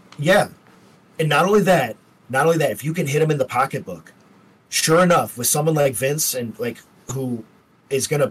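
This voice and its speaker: This man's somewhat breathy voice moves at a moderate pace with ordinary pitch variation. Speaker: podcast co-host. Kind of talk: casual chat.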